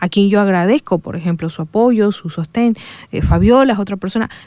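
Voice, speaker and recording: Her voice has a dark, mellow tone as a woman speaks at a moderate pace with lively intonation in a dry, close recording with no echo. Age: 40s. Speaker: psychologist, university program director. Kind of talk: radio interview. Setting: radio studio.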